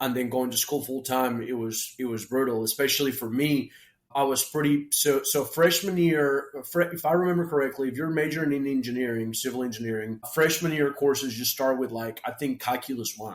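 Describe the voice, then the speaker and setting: The man talks at a fairly quick pace. His pitch is medium, with ordinary variation. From Colombia, grew up partly in Florida. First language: Spanish. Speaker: entrepreneur. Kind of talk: interview storytelling. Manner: halting, many repetitions.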